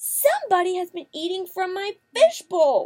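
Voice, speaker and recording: A woman's put-on character voice, squeaky and extremely high-pitched, with lively intonation. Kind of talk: picture book read-aloud. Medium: read story.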